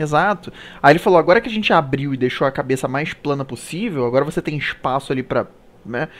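With a fairly high pitch and ordinary pitch variation, this man speaks at a very fast pace. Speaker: live show host. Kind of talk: casual chat. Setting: live stream.

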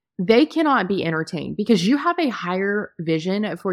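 On a very clean recording with a silent background, a woman speaks at a moderate pace and a medium pitch. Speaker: podcast host. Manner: forceful, emphatic, blunt and impassioned, direct address; candid, conversational.

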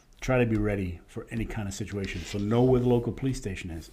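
A man with a fairly low, somewhat breathy voice and a dark, mellow tone speaks at a moderate pace with fairly even intonation. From Rhode Island. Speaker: safety trainer, retired police officer. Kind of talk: interview.

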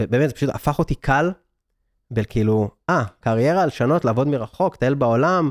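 A man's medium-pitched voice with ordinary variation at a moderate pace, dry and close with no echo, in a very clean recording with a silent background. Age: 30s. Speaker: digital nomad entrepreneur and speaker. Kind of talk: interview. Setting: studio.

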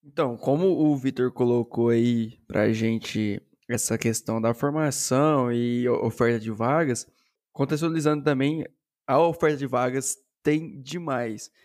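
Using a normal speaking voice, a man talks at a fairly slow pace and medium pitch with ordinary pitch variation. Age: 20s. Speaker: software developer and streamer. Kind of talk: casual chat.

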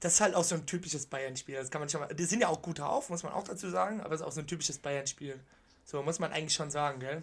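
A man with a fairly high voice talks at a very fast clip, his pitch varying in an ordinary way. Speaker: football podcast co-host. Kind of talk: casual chat.

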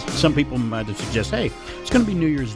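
A man races along at a very fast pace, his pitch swinging very widely, while music plays in the background. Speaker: radio show and podcast host. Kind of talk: casual conversational. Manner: chatty, energetic.

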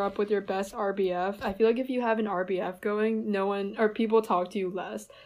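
A normal speaking voice with an American accent runs at a fairly quick pace with hardly any pauses. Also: woman, quiet background. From US, New Jersey. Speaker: recent college graduate. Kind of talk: casual chat.

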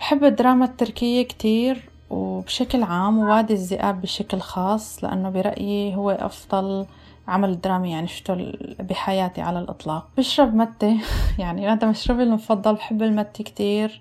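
A woman with a plain, everyday voice speaks at a moderate pace. Her pitch is medium and her intonation fairly even. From Syria, Homs. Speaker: business owner in finance. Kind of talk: casual chat.

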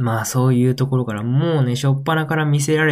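A man talks at a fairly quick pace with a medium pitch. Room echo is audible. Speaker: podcast host. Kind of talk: solo casual talk. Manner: animated.

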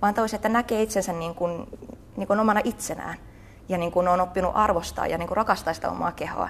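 Very fast, medium-pitched female speech with fairly even intonation. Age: 20s. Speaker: pole dance and theatre teacher. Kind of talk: casual interview.

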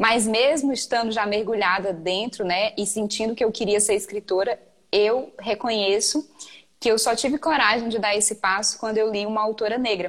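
Fairly high in pitch, a woman uses an ordinary speaking voice. Her pace is moderate and her intonation fairly even. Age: 20s. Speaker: writer and writing mentor. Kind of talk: casual chat.

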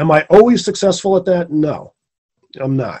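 This is an unremarkable speaking voice at a fairly quick pace. Its pitch variation is ordinary. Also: man. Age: 50s. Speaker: screenwriter and producer. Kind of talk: casual interview.

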